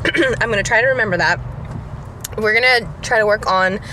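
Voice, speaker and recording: A woman's lively intonation, dry sound with no echo, light background noise. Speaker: vlogger. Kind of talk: casual vlog chat. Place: car. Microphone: phone near.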